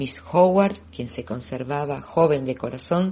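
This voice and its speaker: The speaker is a woman with a somewhat breathy voice. Her intonation is lively. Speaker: audiobook reader. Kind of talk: audiobook reading.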